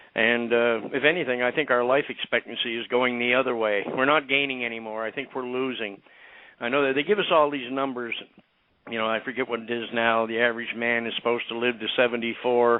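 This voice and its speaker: This man has a plain, everyday voice, pitched in the medium range. He talks fairly quickly, keeping his intonation fairly even. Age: 60s. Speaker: medical cannabis activist. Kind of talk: interview. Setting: radio show interview.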